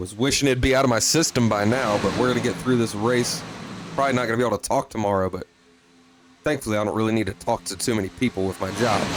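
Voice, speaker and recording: A man talks at a very fast pace with ordinary pitch variation. Noticeable background noise can be heard. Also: medium pitch for a man. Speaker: sim racing commentator. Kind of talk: live commentary. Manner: animated.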